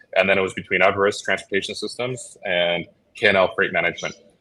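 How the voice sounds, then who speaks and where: Talking at a very fast pace, a man speaks with a Chicago accent. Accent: Chicago American English. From Chicago, US Midwest. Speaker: logistics entrepreneur. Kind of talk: interview. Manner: casual, filler-heavy.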